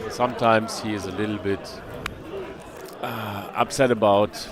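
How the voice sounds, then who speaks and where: With a German accent, a man talks at a moderate pace and a fairly low pitch. Noticeable background noise is present. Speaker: poker stream commentator. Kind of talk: live commentary.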